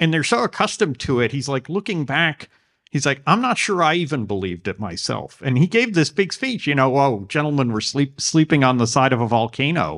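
On a very clean recording with a silent background and a dry, close sound with no echo, a man with a fairly high pitch talks at a fairly quick pace with hardly any pauses and very wide pitch swings. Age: 50s. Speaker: political writer. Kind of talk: interview.

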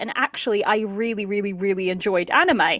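Speaking at a fairly quick pace, a woman has a bright, sharp tone. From Portugal. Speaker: drama podcaster. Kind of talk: casual chat.

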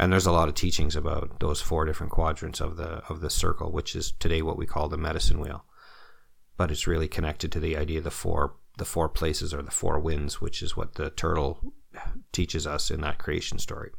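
At a fairly quick pace, a man with a Canadian accent speaks in a very deep, low pitch, somewhat breathy and with monotone, flat intonation. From Ontario, Canada (North Bay). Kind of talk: interview, teaching stories.

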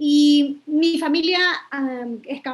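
A woman speaks with ordinary pitch variation. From Lima, Peru (Independencia district). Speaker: environmental educator. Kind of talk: interview conversation.

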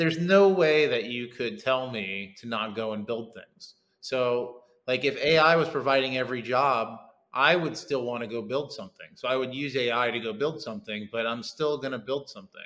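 At a moderate pace, a man speaks in a medium pitch with ordinary pitch variation and big swings in loudness. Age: 40s. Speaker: tech founder and former MMA fighter. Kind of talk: interview. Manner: halting with many fillers.

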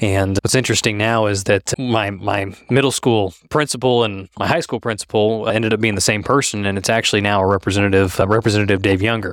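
A man with a Midwestern American accent and a fairly low voice talks at a fairly quick pace with hardly any pauses. His intonation is fairly even and his loudness very even. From Kansas (Halstead). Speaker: state legislator. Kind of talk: interview.

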